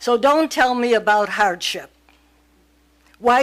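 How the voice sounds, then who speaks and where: A woman speaks at a fairly slow pace. Her pitch is high. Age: 80s+. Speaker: resident speaking at public hearing. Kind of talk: public hearing comment.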